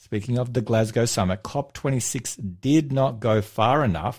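A man with an Australian accent speaks at a very slow pace in a somewhat breathy voice with ordinary pitch variation, on a very clean recording with a silent background. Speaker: radio host. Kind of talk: religious radio talk show. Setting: studio.

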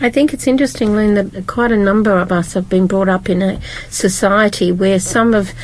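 Against noticeable background noise, a woman with a medium pitch talks at a moderate pace. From Britain. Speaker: Bible study panelist. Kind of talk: group Bible study discussion.

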